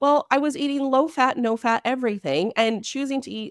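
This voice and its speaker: A loud woman with an animated tone at a fairly quick pace, in a very clean recording with a silent background and a dry, close sound with no echo. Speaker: naturopathic doctor. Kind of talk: interview. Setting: podcast interview.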